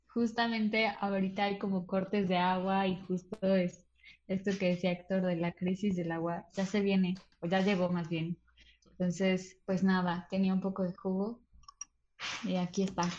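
A woman talks at medium pitch and a moderate pace in a monotone, flat intonation. Her voice is somewhat breathy and very even in loudness. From Mexico City. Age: 20s. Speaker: theatre director and cultural manager. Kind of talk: casual chat.

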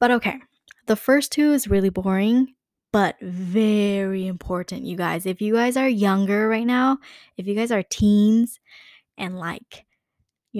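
On a very clean, dry recording with a silent background, a close sound and no echo, a woman speaks at a moderate pace and medium pitch with ordinary pitch variation. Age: 20s. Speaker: podcast host and YouTuber. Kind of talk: solo casual podcast monologue.

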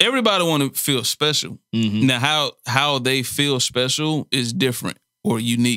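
Bright, sharp tone and medium pitch define this man's voice, captured on a very clean recording with a silent background. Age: 30s. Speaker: podcast co-host. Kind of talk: casual chat.

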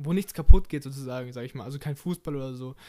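Pitched fairly high, a man speaks with a dark, mellow tone and ordinary pitch variation. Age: 20s. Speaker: podcast host and bank trainee. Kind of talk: casual solo podcast monologue.

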